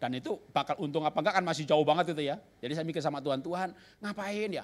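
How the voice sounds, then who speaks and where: The speaker is a man. His tone is animated. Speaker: pastor. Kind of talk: sermon.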